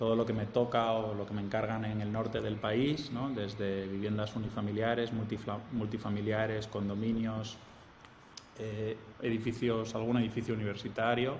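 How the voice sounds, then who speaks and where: At a moderate pace and medium pitch, a man with a strong Spanish accent talks in a monotone, flat way, amid noticeable background noise and audible room echo. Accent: Spanish accent, strong, easily identifiable. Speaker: architect and professor. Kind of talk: interview.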